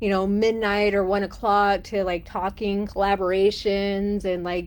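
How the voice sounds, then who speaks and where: In a Texan accent, a woman talks at a moderate pace and medium pitch with monotone, flat intonation. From Texas. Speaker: life coach. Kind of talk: live stream casual talk. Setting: live stream from a cruise ship cabin. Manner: many fillers, halting.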